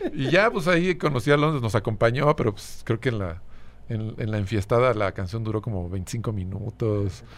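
With an ordinary speaking voice, a man talks at a moderate pace. His medium pitch carries lively intonation. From Mexico City. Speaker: musician. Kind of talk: casual chat.

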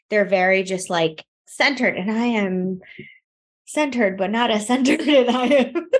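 A woman's fairly high voice, an ordinary speaking voice with lively intonation. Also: moderate pace. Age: 30s. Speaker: podcast co-host. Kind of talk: casual chat.

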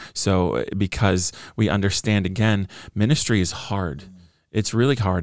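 In a very clean recording with a silent background, a man with an American accent and an ordinary speaking voice talks at a fairly low pitch with ordinary pitch variation. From Southern California (Orange County). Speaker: pastor and author. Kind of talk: interview conversation.

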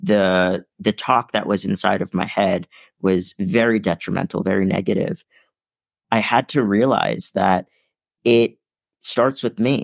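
In a very clean recording with a silent background and a dry, close sound with no echo, a man with fairly low pitch and ordinary pitch variation speaks at a fairly slow pace, with very even loudness and long, frequent pauses. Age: 20s. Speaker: motivational keynote speaker. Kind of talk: interview.

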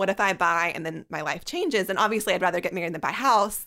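On a very clean recording with a silent background, a woman with a Southern US accent talks very fast in a bright, sharp tone at a medium pitch. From Alabama, Birmingham. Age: 30s. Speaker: magazine editor. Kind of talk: casual chat.

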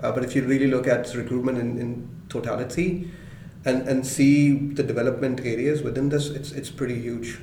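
The speech moves at a moderate pace in a monotone, flat intonation over noticeable background noise. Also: man. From Pakistan. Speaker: head of tech recruiting. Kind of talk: interview.

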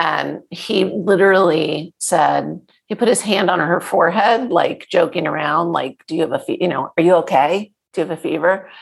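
Talking at a moderate pace, a woman with a fairly low pitch shows vocal fry and ordinary pitch variation. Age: 50s. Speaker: podcast host and health coach. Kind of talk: interview. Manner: animated.

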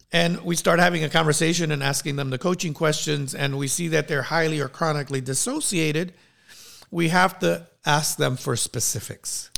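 This man's fairly high voice carries vocal fry and stays on fairly even intonation. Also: moderate pace. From New York City and Puerto Rico. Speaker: leadership coach and coach trainer. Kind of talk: interview.

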